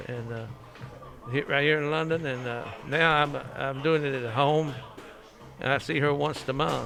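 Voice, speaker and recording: Over music in the background, a man with an American accent and fairly high pitch talks at a moderate pace with fairly even intonation. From Kentucky, Lee County. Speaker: boxing class member with Parkinson's. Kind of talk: testimony. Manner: halting.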